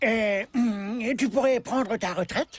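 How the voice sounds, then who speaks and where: A cartoonish character voice pitched fairly high. It moves at a fairly slow pace. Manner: polite, earnest.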